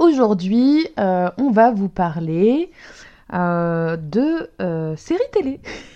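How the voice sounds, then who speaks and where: Speaking at a very slow pace, a woman with a medium pitch makes very wide pitch swings. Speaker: podcast co-host. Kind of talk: casual chat. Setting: at co-host's home.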